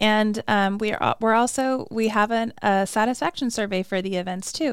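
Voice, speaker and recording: A woman with a normal speaking voice talks at a moderate pace with fairly even intonation on a very clean recording with a silent background. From Arizona (Flagstaff). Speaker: arts and culture coordinator. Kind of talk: casual interview. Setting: studio.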